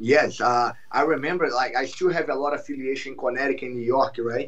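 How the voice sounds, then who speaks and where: A man speaks with a Brazilian Portuguese accent and fairly even intonation. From Brazil, Rio de Janeiro. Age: 30s. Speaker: jiu-jitsu champion and instructor. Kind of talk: podcast interview.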